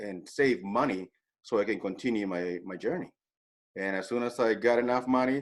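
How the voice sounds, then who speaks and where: With a Spanish accent, a man talks at a medium pitch with ordinary pitch variation. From El Salvador. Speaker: real estate agent. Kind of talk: interview, personal story. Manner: hesitant, many fillers and repeats.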